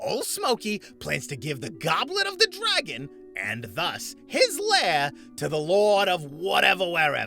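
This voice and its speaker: Using a put-on character voice at a high pitch, a man speaks at a moderate pace with clear music in the background. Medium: audio drama. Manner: brash, insulting.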